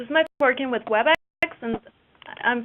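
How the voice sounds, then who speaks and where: A woman with a Mexican accent speaks with ordinary pitch variation. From Mexico. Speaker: cooperative business developer. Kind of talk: webinar presentation. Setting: online webinar.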